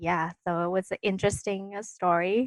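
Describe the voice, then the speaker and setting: Against a quiet background, a woman with a Vietnamese accent speaks at a fairly low pitch in a dry, close sound with no echo. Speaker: dentist. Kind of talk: casual interview. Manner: hesitant, many fillers.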